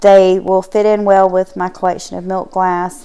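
Her tone dark and mellow, a woman talks at a moderate pace. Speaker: thrift haul vlogger. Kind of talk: casual vlog chat. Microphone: phone near.

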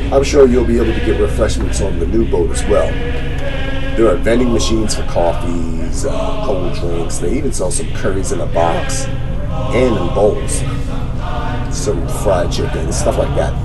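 Over loud music in the background, a man speaks at a moderate pace. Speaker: family travel vlogger. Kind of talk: casual vlog chat. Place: boat. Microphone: phone near.

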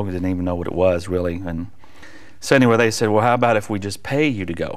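At a very fast pace, a man speaks with a fairly low pitch. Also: quiet background. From US South. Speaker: worship leader and evangelist; evangelist. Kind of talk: testimony. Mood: warm, earnest. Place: studio. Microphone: lapel.

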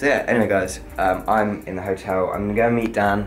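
With faint music in the background, a man with a fairly low voice talks at a fairly quick pace and fairly even intonation. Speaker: vlogger. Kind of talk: casual vlog chat. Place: home room. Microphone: phone near.

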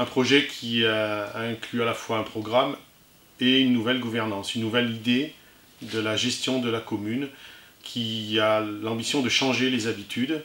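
In a room with audible echo, a man speaks fairly slowly in a monotone, flat intonation. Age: 50s. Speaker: municipal election candidate; election candidate. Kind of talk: campaign statement. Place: empty room.

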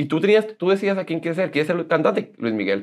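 A man's animated voice with vocal fry and very wide pitch swings. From northern Mexico, Monclova, Coahuila; Coahuila, Mexico. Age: 30s. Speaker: social media personality; interview guest. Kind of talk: interview, casual chat. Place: studio. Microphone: lapel.

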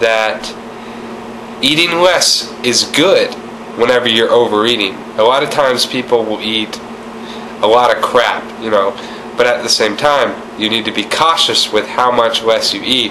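Taking long, frequent pauses, a man with medium pitch speaks at a moderate pace over noticeable background noise. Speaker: weight loss vlogger. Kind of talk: casual talk to camera.

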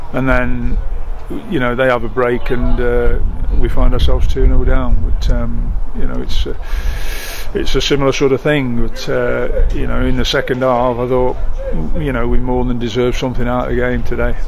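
A man at a moderate pace, dry with no echo, over noticeable background noise. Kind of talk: interview answer. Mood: frustrated, disappointed. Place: stadium. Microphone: phone near.

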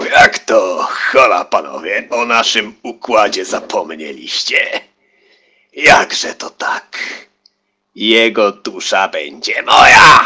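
Putting on a character voice, a man speaks fairly slowly in a raspy, extremely high pitch. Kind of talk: theatrical fantasy voice acting.

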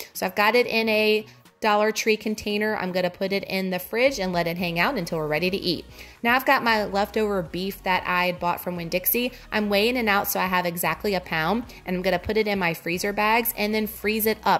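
Faint music plays in the background. A woman talks at a fairly quick pace with ordinary pitch variation. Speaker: vlogger. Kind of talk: casual cooking tutorial narration. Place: kitchen.

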